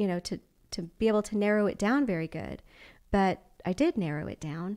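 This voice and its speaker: A woman with a slight Texas accent speaks at a fairly quick pace with lively intonation and medium pitch. Her tone is dark and mellow, on a very clean recording with a silent background. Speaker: belly dancer and dance studio owner. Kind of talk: podcast interview conversation. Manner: casual, with many fillers.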